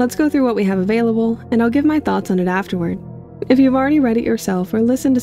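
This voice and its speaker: Music plays behind a woman with a fairly high pitch. She talks very fast with ordinary pitch variation. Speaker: YouTube lore theorist. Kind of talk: casual talk to camera.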